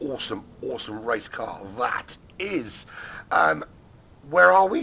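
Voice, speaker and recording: Noticeable background noise sits behind a man's voice. He speaks at a fairly slow pace with a fairly high pitch. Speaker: sim racing commentator. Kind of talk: live commentary. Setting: studio. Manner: hesitant, many fillers.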